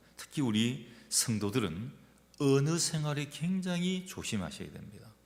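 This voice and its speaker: There is audible room echo as a man at medium pitch speaks with very wide pitch swings. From Gyeongsang region, South Korea. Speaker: pastor. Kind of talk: sermon. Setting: church.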